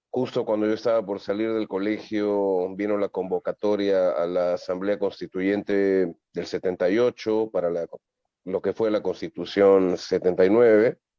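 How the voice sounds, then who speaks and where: A man's fairly low voice at a fairly slow pace, with fairly even intonation. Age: 60s. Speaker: comedian. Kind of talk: interview. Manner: halting.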